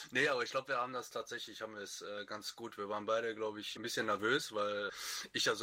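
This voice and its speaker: Monotone, flat intonation runs through a man's bright, sharp tone. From Lower Rhine region, Germany. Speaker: wiki maintainer on a writing team. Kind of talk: casual chat.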